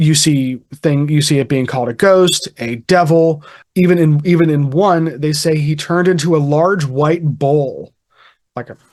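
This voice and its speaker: This man has a fairly high pitch. He speaks with a Pittsburgh accent. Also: fairly even intonation, moderate pace. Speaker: podcast host. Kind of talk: casual chat. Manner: halting, many fillers.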